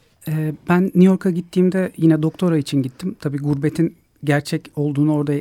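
A man talks at a fairly quick pace with hardly any pauses, his pitch fairly high. He has a plain, everyday voice and fairly even intonation. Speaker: ethnomusicologist. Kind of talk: radio interview.

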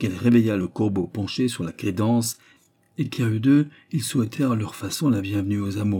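The speech is plain reading aloud. Pitch varies in an ordinary way.

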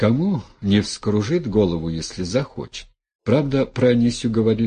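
Near-silent surroundings behind an unforced reading voice full of lively intonation

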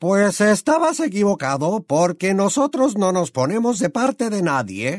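A man uses a put-on character voice, high in pitch. He keeps a moderate pace with hardly any pauses.

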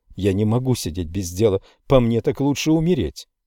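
The lively intonation rides on an unforced reading voice.

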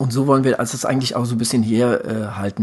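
Here a man speaks at a medium pitch. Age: 40s. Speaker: endurance sports podcast co-host, triathlete. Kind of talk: casual chat. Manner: halting, many filler sounds.

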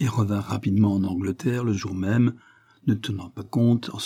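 This is a reading voice. It sounds natural.

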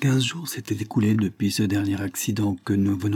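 An unforced reading voice is heard here.

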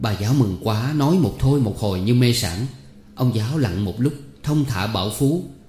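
This clip features a natural reading voice. That is how it comes across throughout.

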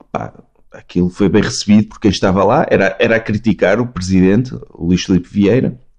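Dark, mellow tones from a man at a moderate pace. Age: 30s. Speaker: podcast guest. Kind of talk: casual chat. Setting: video call.

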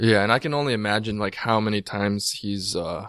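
Against a quiet background, a man speaks in a fairly low pitch. He has a plain, everyday voice. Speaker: podcast co-host. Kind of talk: casual chat. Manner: joking, playful.

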